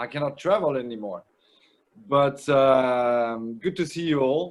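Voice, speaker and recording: With a French accent, the speaker talks very slowly with ordinary pitch variation. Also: man. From France, Bordeaux. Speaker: winemaker. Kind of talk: trade presentation. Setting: video call.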